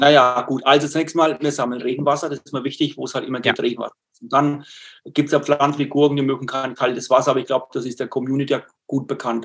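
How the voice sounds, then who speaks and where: A man talks at a very fast pace. His pitch is fairly high, and his intonation is monotone and flat. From Lower Franconia, northern Bavaria (near Würzburg). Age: 60s. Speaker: nature educator and self-sufficiency gardener. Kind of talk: webinar talk answering questions. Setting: online webinar.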